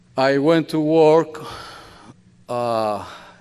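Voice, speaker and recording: This man has a Colombian accent. His pitch variation is ordinary. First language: Spanish. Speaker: bakery owner and immigrant community advocate. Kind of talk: speech to church audience. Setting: church hall with audience. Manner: earnest, emotional.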